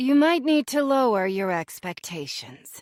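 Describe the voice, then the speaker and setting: Putting on a character voice, a woman speaks at a moderate pace in a high, husky pitch with very wide pitch swings. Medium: read story. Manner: blunt but kind.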